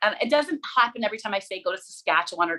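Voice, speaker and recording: Lively intonation marks this woman's speech in a Manitoba accent. Her fairly high voice has a bright, sharp tone. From Manitoba, Canada (small farm town). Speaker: radio co-host and journalist. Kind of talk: casual interview chat. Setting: podcast interview.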